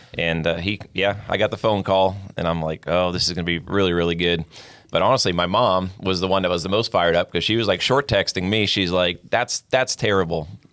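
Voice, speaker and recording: Very deep and low, a man's voice moves at a fairly quick pace. His intonation is fairly even and his loudness very even. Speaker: racing spotter. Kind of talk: casual chat. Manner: soft-spoken.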